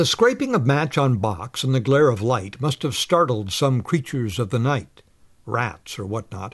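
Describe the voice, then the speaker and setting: There is lively intonation in this man's somewhat breathy voice, set against a quiet background. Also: medium pitch for a man, moderate pace. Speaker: narrator of ghost stories. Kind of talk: ghost story narration, classic literary horror reading.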